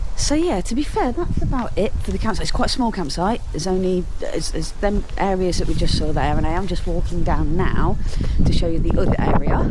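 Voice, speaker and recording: Amid audible room echo and noticeable background noise, a woman talks at a fairly quick pace. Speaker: vlogger. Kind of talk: casual vlog narration. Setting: outdoors at a campsite.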